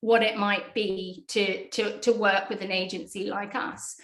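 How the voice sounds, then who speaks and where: Speaking at a fairly slow pace, a woman has a British accent. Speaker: PR agency executive. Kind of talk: interview.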